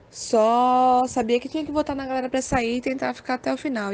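A woman's fairly high-pitched voice. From Brazil, Aracaju. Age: 20s. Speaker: online game contestant. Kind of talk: casual interview.

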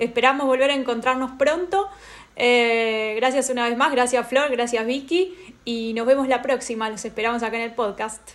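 With a Rioplatense accent, a woman speaks in a high pitch at a moderate pace, her pitch varying in an ordinary way. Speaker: podcast host, researcher. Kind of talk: interview.

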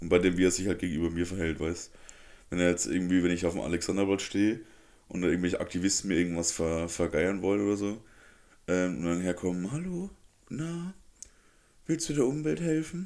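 A man with a very deep, low pitch and ordinary pitch variation talks at a fairly quick pace but takes long, frequent pauses. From Germany, Upper Franconia (Neustadt bei Coburg). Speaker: podcast host. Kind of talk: casual chat.

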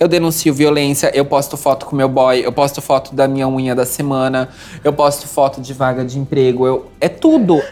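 A woman speaks at a moderate pace in a very deep, low voice with a flat, monotone delivery. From Santa Catarina, southern Brazil (Jaraguá do Sul). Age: 30s. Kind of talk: interview.

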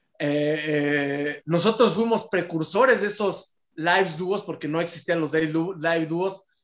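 The speech is fairly slow with hardly any pauses and an animated tone. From Mexico City (Pedregal). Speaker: TikTok content creator. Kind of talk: casual chat.

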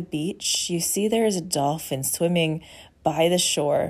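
A woman with an ordinary speaking voice talks at a fairly slow pace, her pitch fairly low with ordinary variation, in a very clean recording with a silent background. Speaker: podcast host and intuitive healer. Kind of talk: guided meditation. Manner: slow, soothing and calm, with gentle pacing; warm and inviting.

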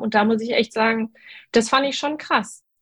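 Her pitch is fairly high with ordinary pitch variation. This woman uses an ordinary speaking voice. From North Rhine-Westphalia, Germany. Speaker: dentist. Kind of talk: casual interview. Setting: video group call.

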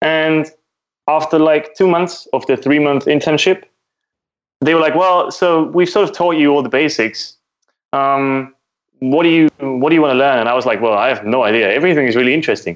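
Against a quiet background, a man with a German accent speaks fairly quickly with very even loudness. His pitch is fairly high and shows ordinary variation. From Austria. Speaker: open source developer. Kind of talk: casual tech podcast interview.

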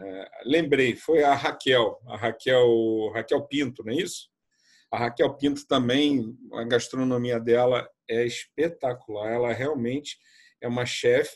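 A man in a normal speaking voice, at a fairly slow pace with fairly even intonation, against a quiet background. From Brazil, Rio de Janeiro. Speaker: tour guide. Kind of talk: casual chat.

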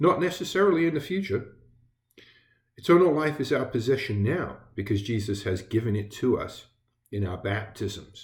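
A man with an American accent speaks at a moderate pace in a somewhat breathy voice. His medium pitch moves through very wide swings. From England. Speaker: Lutheran pastor. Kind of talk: devotional sermon. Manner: halting, with fillers.

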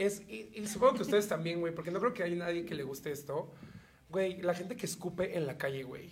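A man with high pitch speaks at a fairly quick pace with lively intonation. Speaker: podcast co-host. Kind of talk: casual chat. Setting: studio.

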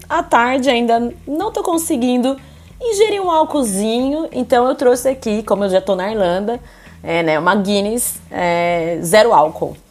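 This woman speaks in a plain, everyday voice. Her pitch sits fairly high. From interior of São Paulo state, Brazil. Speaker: podcast host. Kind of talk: casual chat.

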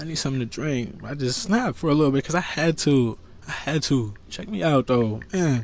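Noticeable background noise surrounds a man talking at a fairly quick pace. His fairly high voice carries lively intonation. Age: 30s. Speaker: podcast host. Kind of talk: casual monologue. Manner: animated.

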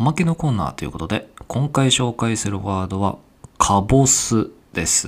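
A man with an unremarkable speaking voice, lively intonation and a moderate pace. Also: medium pitch for a man. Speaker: podcast host. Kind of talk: casual chat.

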